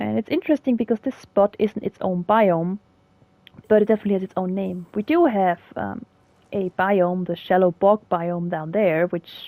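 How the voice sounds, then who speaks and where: A woman with a German accent speaks at a moderate pace in a medium pitch with ordinary pitch variation. Her tone is dark and mellow, and the sound is dry and close with no echo. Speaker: gaming video creator, biology commentator. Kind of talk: gameplay commentary, educational. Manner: casual, with fillers and hesitations.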